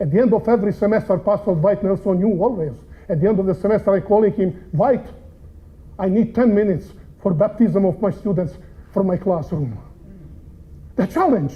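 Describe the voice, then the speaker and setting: Speaking with a strong non-native accent, a man with a high-pitched voice talks at a fairly quick pace. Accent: heavy foreign. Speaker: preacher and seminary professor. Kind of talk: sermon.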